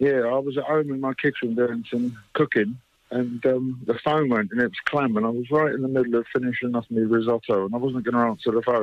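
A man talks at a fairly quick pace, and the sound is dry with no echo. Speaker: guest. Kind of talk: interview answer. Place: studio.

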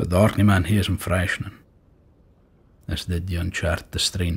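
A man talks at a moderate pace in a Shetland accent. His very deep, low voice is somewhat breathy and held in a monotone, flat intonation. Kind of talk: poetry reading.

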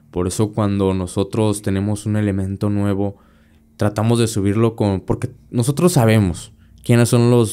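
Speaking at a moderate pace with a Mexican accent, a man uses a fairly low pitch and a dark, mellow tone with fairly even intonation. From Mexico. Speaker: podcast host. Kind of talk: casual chat. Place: studio. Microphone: studio mic.

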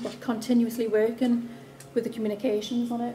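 A woman talks at a fairly quick pace in a flat monotone. Light background noise sits behind her. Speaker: council presenter. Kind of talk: conference presentation. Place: hall. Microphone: camera far.

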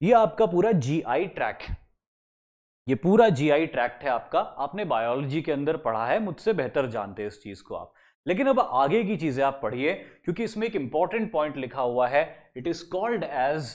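Against a quiet background, a man speaks at a fairly slow pace. His pitch swings are very wide. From India. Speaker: SSB interview coach. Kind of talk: lecture.

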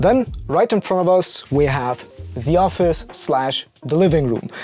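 Faint music sits in the background as a man speaks at a very slow pace. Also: dry sound with no echo. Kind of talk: tour explanation. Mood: upbeat, light humour. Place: home room.

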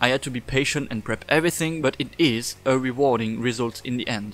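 There is music in the background. A man speaks with a non-native accent. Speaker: cosplayer and prop maker. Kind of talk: tutorial voice-over.

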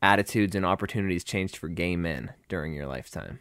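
A man speaks in a normal speaking voice with ordinary pitch variation. The sound is dry and close with no echo, on a very clean recording with a silent background. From Pittsburgh, Pennsylvania. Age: 20s. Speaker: personal trainer. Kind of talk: podcast host interview.

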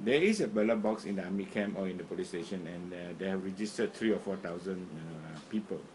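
Recorded with audible room echo, a man speaks at a fairly quick pace with a fairly low pitch and ordinary pitch variation. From Malaysia, Sarawak. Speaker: opposition political commentator. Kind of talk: political monologue to camera. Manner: halting with many fillers.

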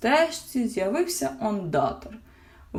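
Simply a natural reading voice.

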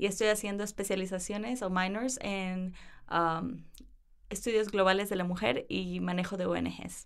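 Fairly slow delivery with fairly even intonation and audible room echo. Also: woman, medium pitch for a woman. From Ecuador (Cuenca, Guayaquil, Quevedo, Quito). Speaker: university student. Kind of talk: interview. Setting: studio.

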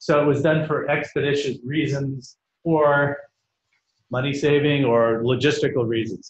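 A man speaks at a fairly slow pace with a fairly high pitch. Audible room echo follows his voice. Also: fairly even intonation. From Canada. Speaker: education network leader; conference presenter. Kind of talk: conference presentation. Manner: loud. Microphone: no microphone; webcam.

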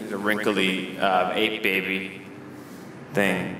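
Over noticeable background noise, a man speaks very slowly in a deadpan tone.

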